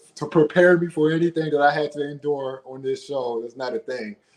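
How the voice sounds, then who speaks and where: With a plain, everyday voice, a man speaks fairly quickly at a fairly high pitch. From Washington DC. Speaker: reality dating show contestant. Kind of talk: casual interview. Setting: online live stream.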